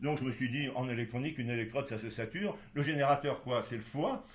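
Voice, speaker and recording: Audible room echo surrounds a man with a fairly high pitch. He talks at a fairly quick pace. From Poland (Galicia). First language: Polish (speaking French). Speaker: doctor. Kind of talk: interview. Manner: halting, many fillers.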